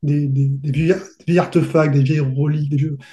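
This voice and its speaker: A somewhat breathy, dark and mellow voice at a fairly slow pace with fairly even intonation. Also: man. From southern France, Côte d'Azur. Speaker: fantasy novelist and role-playing game designer. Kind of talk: interview.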